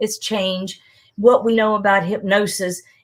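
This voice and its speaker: A woman's normal speaking voice, medium in pitch, at a fairly slow pace with fairly even intonation, on a very clean recording with a silent background. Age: 60s. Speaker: hypnotist. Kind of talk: interview on live broadcast.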